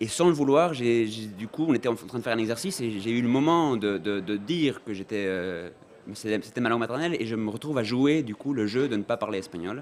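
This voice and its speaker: Fairly quick male speech with a Spanish accent and lively intonation. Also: medium pitch for a man. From Uruguay. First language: Spanish (speaking French). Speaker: film director. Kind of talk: interview. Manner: hesitant, many fillers.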